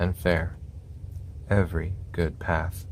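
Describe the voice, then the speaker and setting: Soft-spoken and somewhat breathy, a man speaks in a calm tone with a very deep, low pitch. His pace is very slow. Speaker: scripture reader. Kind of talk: ASMR scripture reading. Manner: soft-spoken, calm.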